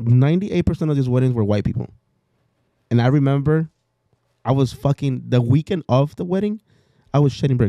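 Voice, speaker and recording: A man with a Mexican accent speaks at a fairly quick pace with ordinary pitch variation. He leaves long, frequent pauses, and the sound is dry and close with no echo. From Mexico. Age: 30s. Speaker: entrepreneur and former wedding DJ. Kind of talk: casual podcast chat. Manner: animated storytelling; halting, frequent repetitions.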